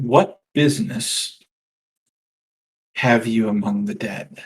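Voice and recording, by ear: A put-on character voice drawls out the words at a very slow pace. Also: man, medium pitch for a man.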